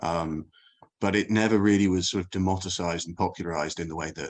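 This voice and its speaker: Someone with an English accent speaks at a fairly quick pace with ordinary pitch variation. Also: man. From England. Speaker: cricket journalist. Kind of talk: podcast interview. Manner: hesitant, many fillers.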